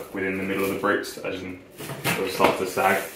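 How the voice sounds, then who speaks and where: Noticeable background noise and audible room echo surround a man as he speaks. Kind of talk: casual vlog explanation. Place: home room.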